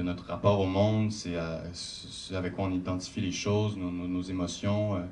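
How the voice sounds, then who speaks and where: A man with a Quebec accent speaks at a very deep, low pitch in a monotone, flat delivery. He barely pauses, and the room echo is audible. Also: moderate pace. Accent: Québécois. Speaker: actor. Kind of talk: post-screening Q&A.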